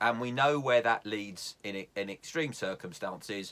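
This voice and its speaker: At a fairly slow pace, a man with a southern English accent speaks at medium pitch with lively intonation. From London area, England. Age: 60s. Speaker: YouTube vlogger. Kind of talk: casual tutorial. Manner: hesitant, with fillers.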